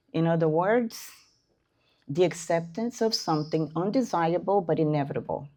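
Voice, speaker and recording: Against a quiet background, a woman with a non-native accent speaks at a fairly low pitch and a moderate pace, her tone dark and mellow, her loudness very even and her pitch varying in an ordinary way. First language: not English. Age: 60s. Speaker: spiritist lecturer. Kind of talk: lecture. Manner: halting.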